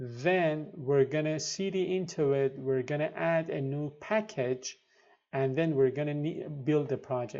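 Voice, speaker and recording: Speaking fairly slowly with a non-native accent, a man has a fairly high voice with a dark, mellow tone and ordinary pitch variation. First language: not English. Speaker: programming tutorial youtuber. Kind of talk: tutorial. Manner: halting, many fillers.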